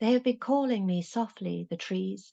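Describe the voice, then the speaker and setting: A woman speaks in a dark, mellow tone. The sound is dry and close, with no echo. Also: quiet background. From Ireland. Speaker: poet and workshop leader. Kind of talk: poetry reading.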